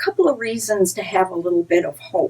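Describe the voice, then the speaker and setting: Very wide pitch swings in a woman's speech. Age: 60s. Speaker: advocacy group director. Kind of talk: direct-to-camera talk. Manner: earnest, conversational with repetitions.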